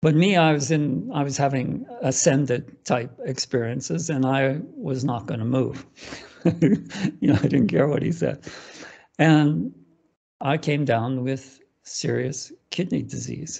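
The voice has vocal fry and a fairly slow pace, with ordinary pitch variation. Long pauses come often against a quiet background. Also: man. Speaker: interview guest. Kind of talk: interview answer. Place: home room. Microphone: video call.

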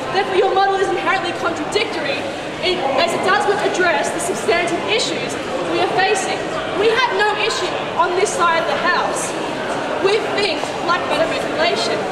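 Audible room echo with crowd noise in the background. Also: woman, fairly quick pace. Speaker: student debater. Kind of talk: debate speech. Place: street. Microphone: pa.

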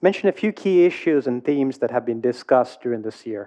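Here a man speaks at a fairly quick pace with lively intonation. His tone is dark and mellow. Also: medium pitch for a man.

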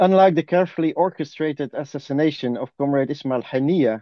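A man speaks at a fairly quick pace with ordinary pitch variation. He has an unremarkable speaking voice. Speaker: activist. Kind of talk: reading aloud. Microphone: dodgy internet connection.

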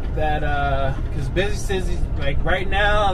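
A man speaks at a very slow pace. Noticeable background noise runs under his voice. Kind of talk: casual vlog chat. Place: car.

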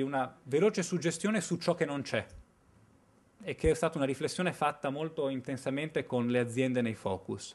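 The pace runs fairly quick. Intonation stays lively. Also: man. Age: 30s. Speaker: researcher presenting findings; conference speaker. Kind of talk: conference presentation. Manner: hesitant, with fillers. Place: hall. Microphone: podium.

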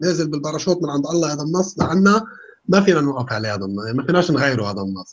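Very wide pitch swings run through this very fast delivery. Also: man, fairly high pitch for a man. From Lebanon. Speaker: atheist guest, businessman. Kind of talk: casual interview chat. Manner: animated.

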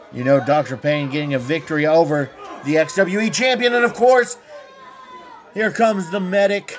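Over crowd noise in the background, the speaker moves at a moderate pace with long, frequent pauses and very wide pitch swings. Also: man, high pitch for a man. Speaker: wrestling commentator. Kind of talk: live wrestling play-by-play commentary.

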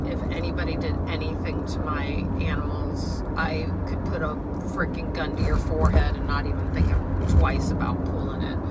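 A woman talks fairly slowly as music plays in the background. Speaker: dog owner vlogger. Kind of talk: casual vlog chat. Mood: emotional, upset. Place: car. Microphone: phone near.

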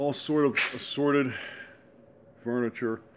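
With light background noise, a man talks at a fairly slow pace. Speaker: seller showing items. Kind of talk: casual sales walk-through narration. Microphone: phone near.

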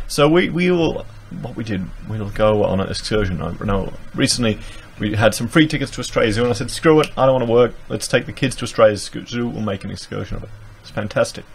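Very fast speech from a man, with lively intonation, big swings in loudness and light background noise. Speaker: commentator. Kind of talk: commentary reading and reacting to an article. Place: home room. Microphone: studio mic.

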